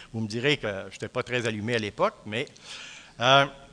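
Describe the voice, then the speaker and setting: Speaking at a very fast pace, a man has a bright, sharp tone. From Quebec, Centre-du-Québec. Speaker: professor. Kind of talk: lecture. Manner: hesitant, many fillers.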